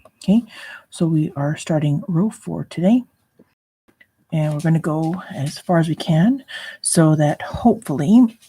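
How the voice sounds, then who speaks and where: A quiet, somewhat breathy woman's voice, fairly low in pitch and dark and mellow in tone, at a fairly slow pace with long, frequent pauses. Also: lively intonation. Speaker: crochet tutorial youtuber. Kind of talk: tutorial. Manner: hesitant with fillers.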